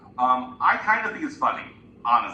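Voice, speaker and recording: The recording carries audible room echo. Noticeable background noise is present too. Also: man. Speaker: librarian. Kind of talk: class presentation.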